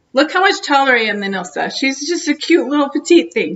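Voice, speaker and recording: A woman speaks loudly at a high pitch. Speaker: video blogger. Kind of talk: casual interview.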